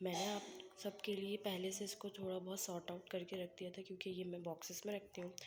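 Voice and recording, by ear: The speech comes at a fast pace with little pitch movement. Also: woman, fairly low pitch for a woman.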